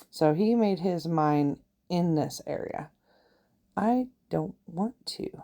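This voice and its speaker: A woman speaks in a relaxed way, her tone dark and mellow. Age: 40s. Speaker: gaming YouTuber. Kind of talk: casual let's-play commentary. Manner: relaxed, thinking aloud with hesitations.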